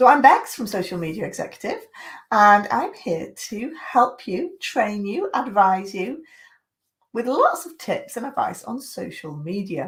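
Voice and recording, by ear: Her medium pitch takes big swings as the woman talks at a fairly slow pace.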